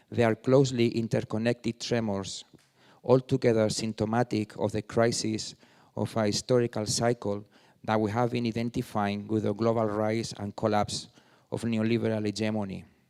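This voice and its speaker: With a Spanish accent, a man speaks at medium pitch and a moderate pace in a monotone, flat way. The recording is very clean with a silent background, and the sound is dry and close with no echo. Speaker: artist and former politician. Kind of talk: reading aloud.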